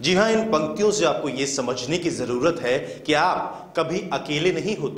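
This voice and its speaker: A fairly high-pitched man amid noticeable background noise. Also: ordinary pitch variation. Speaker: news reporter. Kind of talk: TV news voice-over narration.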